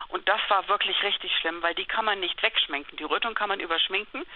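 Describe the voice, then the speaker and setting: With a plain, everyday voice, a woman speaks at a medium pitch and a fairly quick pace. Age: 50s. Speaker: journalist and patient. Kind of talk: interview.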